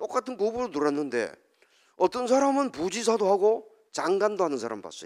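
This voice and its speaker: His pitch is high for a man and swings very widely as he speaks at a moderate pace. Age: 60s. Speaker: professor and lecturer. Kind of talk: public lecture. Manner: conversational, asks audience questions.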